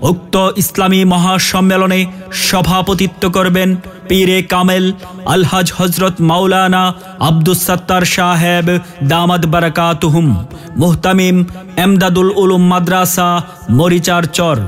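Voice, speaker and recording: With music in the background, a man speaks at a high pitch in a monotone, flat intonation, his loudness very even. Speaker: voice artist. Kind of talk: loudspeaker event announcement. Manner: rousing, declamatory.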